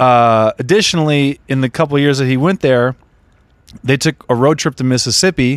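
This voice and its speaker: A man with an American accent and an ordinary speaking voice, medium in pitch with ordinary pitch variation, at a fairly quick pace, in a dry, close sound with no echo and a very clean recording with a silent background. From Southern California, Redondo Beach. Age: 30s. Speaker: comedian. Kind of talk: casual chat.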